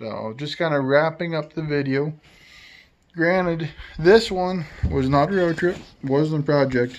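Ordinary pitch variation marks this fairly slow delivery, heard with audible room echo. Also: man, fairly high pitch for a man.

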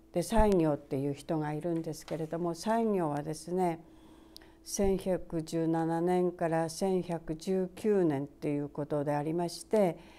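At a fairly slow pace, a woman with a fairly low pitch and a dark, mellow tone talks with fairly even intonation. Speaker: Buddhist priest. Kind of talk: Buddhist dharma talk. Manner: frequent fillers and pauses; polite formal speech.

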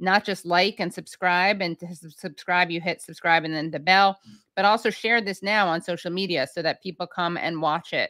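A woman speaks at a moderate pace in a fairly low pitch, her tone bright and sharp and her intonation fairly even. The sound is dry with no echo, against a quiet background. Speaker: show host. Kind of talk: livestream host intro. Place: home room. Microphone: studio mic.

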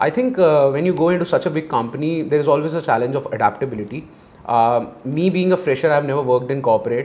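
Talking at a very fast pace, a man with a fairly high pitch shows ordinary pitch variation. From India, Delhi. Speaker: MBA student; interviewee. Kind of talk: interview. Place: studio. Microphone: lapel.

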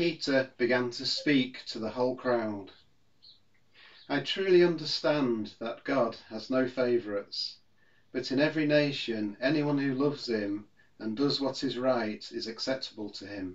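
At a fairly slow pace, a man talks with ordinary pitch variation over a quiet background. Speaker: minister. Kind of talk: scripture reading. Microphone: phone near.

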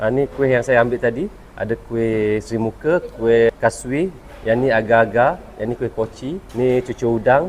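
At a fairly slow pace, a man talks at medium pitch with ordinary pitch variation against noticeable background noise. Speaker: travel vlogger. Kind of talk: casual vlog narration.

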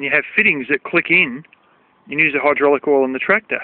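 A fairly quick pace in a dry, echo-free sound. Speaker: tractor owner. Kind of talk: casual explanatory tutorial. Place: farm machine. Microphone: phone near.

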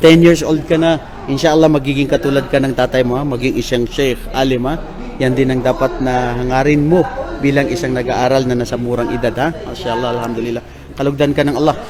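The speech moves at a fairly quick pace with fairly even intonation, while noticeable background noise and audible room echo fill the recording. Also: man, medium pitch for a man. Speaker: vlogger interviewing Islamic students. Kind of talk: religious exhortation; casual on-location interview vlog. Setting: on location at an Islamic study center.

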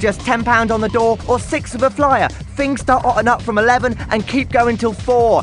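Over music in the background, a man with an extremely high pitch speaks at a moderate pace, with very even loudness and fairly even intonation. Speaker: voice actor. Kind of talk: club night radio advert.

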